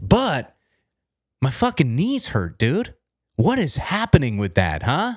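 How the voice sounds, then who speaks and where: Over a silent background in a very clean recording, a man with vocal fry speaks at a fairly slow pace in an animated tone, his pitch swinging very widely, the sound dry and close with no echo. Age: 20s. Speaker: comedian. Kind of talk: comedic podcast rant.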